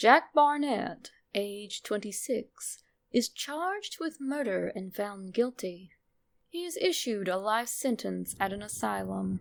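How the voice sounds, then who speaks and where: A woman's voice takes on a sinister tone at a medium pitch. She speaks at a very slow pace. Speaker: narrator. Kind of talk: horror story narration.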